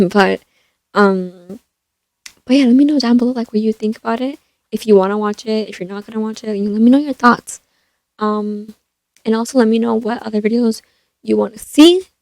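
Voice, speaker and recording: A soft-spoken woman's fairly high voice, fairly quick with long, frequent pauses and ordinary pitch variation. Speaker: YouTuber, movie reviewer. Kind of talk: casual vlog talk. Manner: hesitant, many fillers.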